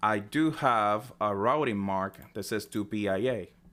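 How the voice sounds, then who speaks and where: A man speaking in a non-native accent has a medium pitch and varies it in an ordinary way. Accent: heavy non-native. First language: not English. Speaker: tech tutorial creator. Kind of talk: tutorial. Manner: unscripted, hesitant with fillers.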